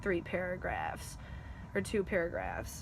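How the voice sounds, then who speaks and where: Quiet and fairly slow, a woman speaks at a medium pitch in a monotone, flat intonation with vocal fry. Room echo is audible. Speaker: college student. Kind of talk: class assignment video presentation.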